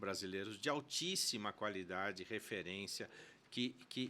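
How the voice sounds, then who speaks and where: Bright and sharp in tone, a man's voice holds a fairly even intonation. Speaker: co-founder of a business institute. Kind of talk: podcast interview.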